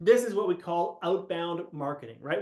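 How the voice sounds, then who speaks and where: This man's intonation sounds lively. His words come at a moderate pace. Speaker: business coach. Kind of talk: live webinar teaching. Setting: live video call.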